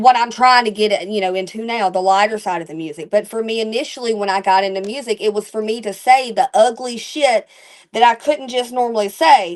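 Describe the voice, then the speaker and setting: A woman speaks at a fairly quick pace with a fairly high pitch and ordinary pitch variation. She has an Alabama accent. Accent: Alabama Southern. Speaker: country rap musician. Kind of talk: interview. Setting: live stream. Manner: animated.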